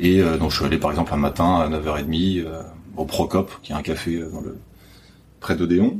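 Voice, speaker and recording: A man with a very deep, low pitch talks at a moderate pace in monotone, flat intonation, leaving long, frequent pauses. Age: 20s. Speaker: bookseller. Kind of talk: interview. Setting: bookshop after hours. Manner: hesitant, many fillers.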